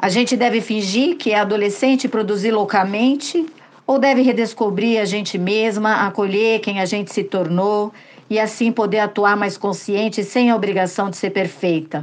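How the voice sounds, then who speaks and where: Speaking at a moderate pace, a woman uses a normal speaking voice of medium pitch, with ordinary pitch variation and very even loudness. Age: 50s. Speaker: listener sending voice message. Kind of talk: recorded testimony.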